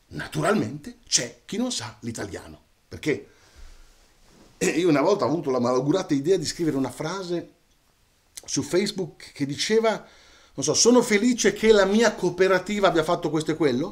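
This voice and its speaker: Pitched high, a man speaks with lively intonation at a moderate pace. Long, frequent pauses break up his speech. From Italy, Romagna (Cesena); Italy. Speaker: storyteller. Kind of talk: casual monologue to camera. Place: home room.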